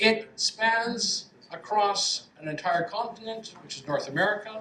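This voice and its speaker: A raised, projected voice with a Canadian accent moves at a fairly slow pace, with big swings in loudness, ordinary pitch variation and audible room echo. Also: man, high pitch for a man. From Canada, west coast. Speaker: professor. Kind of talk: lecture. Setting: lecture hall with audience.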